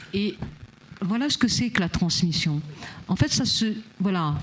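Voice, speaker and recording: A somewhat breathy voice with lively intonation. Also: woman. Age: 60s. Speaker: freemason guest, former education and social sector worker. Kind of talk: panel discussion. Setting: studio on a barge.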